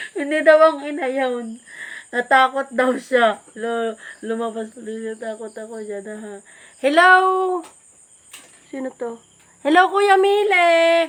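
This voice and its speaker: A high-pitched woman speaks at a very slow pace, leaving long, frequent pauses. Her intonation is lively and her loudness swings widely. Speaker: live streamer. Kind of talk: casual chat. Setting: Facebook live at home with family.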